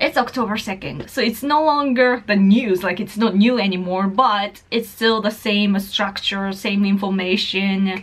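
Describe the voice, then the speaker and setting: The speaker has a Japanese accent, a fairly slow pace, ordinary pitch variation and hardly any pauses, with noticeable background noise behind. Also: woman, medium pitch for a woman. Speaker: political YouTuber and writer. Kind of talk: casual talk to camera. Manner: mumbling, hesitant.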